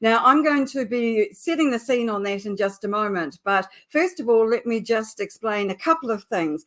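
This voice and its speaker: A woman with a New Zealand accent, fairly high-pitched, at a moderate pace with lively intonation and hardly any pauses. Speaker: LinkedIn specialist and show host. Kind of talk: live webinar introduction.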